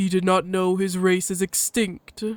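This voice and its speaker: In a put-on character voice of middle pitch, the speaker moves at a moderate pace with monotone, flat intonation. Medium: read story. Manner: terse, formal, no contractions.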